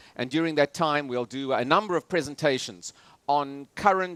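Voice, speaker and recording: A man with a South African accent at a moderate pace, ordinary pitch variation, dry, close sound with no echo, very clean recording with a silent background. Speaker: political analyst and futurist speaker. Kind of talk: lecture. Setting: stage with audience on cruise ship. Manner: many filler hesitations.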